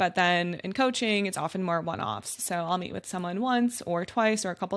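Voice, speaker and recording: A normal speaking voice from a woman with an American accent, medium pitch, ordinary pitch variation and a fairly quick pace. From Wisconsin, US Midwest. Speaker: UX designer and design coach. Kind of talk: podcast interview. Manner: conversational, many fillers.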